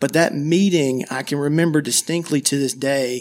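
In an ordinary speaking voice, a man talks at a moderate pace with fairly high pitch and fairly even intonation. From US South, small-town Georgia. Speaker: wealth advisor, podcast host. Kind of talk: scripted podcast introduction.

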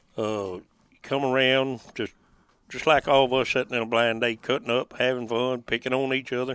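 Here a man speaks with a rural Southern US accent at a moderate pace. His intonation is monotone and flat. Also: medium pitch for a man. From western Tennessee, rural lake area. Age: 50s. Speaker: duck hunting guide. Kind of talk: casual interview chat. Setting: in a duck blind on a lake.

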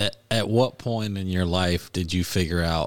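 A man with an American accent speaks at a fairly slow pace with a very deep, low pitch. The recording is very clean and the background silent. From US South. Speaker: taxidermist and hunter. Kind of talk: casual interview.

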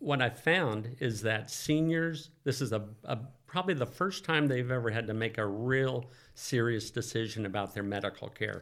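A man with an American accent speaks at a moderate pace. His pitch sits in the middle range. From Northern California (Oakland). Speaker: financial planner. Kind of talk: interview.

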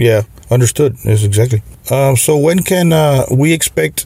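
A man's voice comes across as somewhat breathy. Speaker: podcast host. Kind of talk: interview. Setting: video call.

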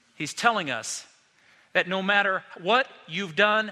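A man projects a raised voice with a bright, sharp tone and a high pitch. He speaks at a very slow pace. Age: 50s. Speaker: pastor. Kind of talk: sermon. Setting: church.

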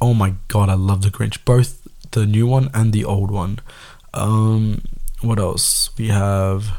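A man speaks at a very slow pace with a fairly low pitch. His tone is dark and mellow, and his intonation fairly even. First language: Tamil. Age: 20s. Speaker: podcast host. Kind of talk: solo podcast monologue, casual. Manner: casual, rambling, filler-heavy.

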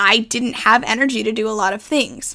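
Bright and sharp in tone, a woman with an American accent talks at a moderate pace and fairly high pitch with ordinary pitch variation. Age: 20s. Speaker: mental health podcaster. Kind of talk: personal monologue.

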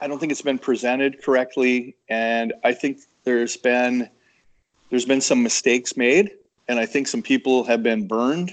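Pausing long and often, a man speaks at a moderate pace with fairly even intonation and a medium pitch. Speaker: credit union technology executive. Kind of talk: interview. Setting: conference. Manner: halting, repeats words.

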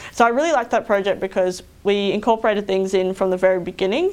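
Using a medium pitch and fairly even intonation, a woman with an Australian accent talks at a very fast pace. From regional Queensland, Australia (Roma). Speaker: engineering consultant. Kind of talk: interview.

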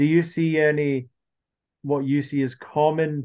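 The speech comes at a very slow pace in a monotone, flat intonation. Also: man. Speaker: podcast host. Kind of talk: casual interview chat.

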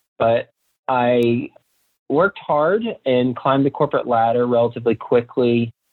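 Using a normal speaking voice with an American accent, a man talks at a moderate pace and a medium pitch, with fairly even intonation and very even loudness. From Texas, Fort Worth. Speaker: real estate investor. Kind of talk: interview.

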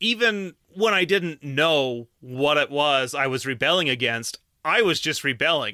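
With an American accent and a normal speaking voice, a man talks at a moderate pace and fairly high pitch with lively intonation, on a very clean, dry, close recording with no echo and a silent background. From Utah County, Utah. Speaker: podcast host. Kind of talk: casual monologue.

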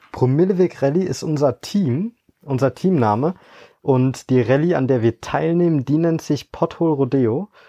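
A man with a fairly high pitch and a dark, mellow tone talks at a moderate pace with ordinary pitch variation. The sound is dry and close with no echo, against a quiet background. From Eifel, western Germany. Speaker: management consultant and rally co-driver. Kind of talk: interview.

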